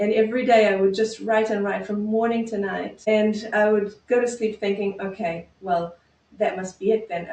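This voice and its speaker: Speaking with a non-native accent, a woman at medium pitch keeps a moderate pace and fairly even intonation. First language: not English. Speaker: psychotherapist. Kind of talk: interview.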